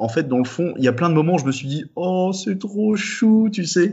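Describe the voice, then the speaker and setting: A man talks in a normal speaking voice. His intonation is lively and his pace moderate. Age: 20s. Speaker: physics student. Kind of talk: casual chat. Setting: Skype call.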